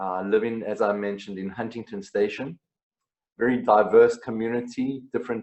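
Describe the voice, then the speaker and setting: A man with a South African accent, medium in pitch, with ordinary pitch variation. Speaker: singer-songwriter. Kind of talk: interview.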